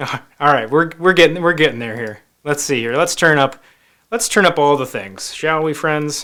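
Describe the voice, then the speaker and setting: A loud man's fairly high voice with a bright, sharp tone, ordinary pitch variation and a moderate pace. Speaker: magazine editor and live show host. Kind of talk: live web show interview. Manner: energetic.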